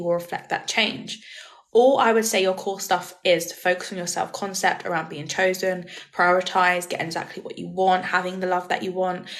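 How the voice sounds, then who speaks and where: Noticeable background noise is present throughout. Over it, a woman speaks fairly quickly. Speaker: manifestation coach. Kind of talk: live stream Q&A. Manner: fast; casual.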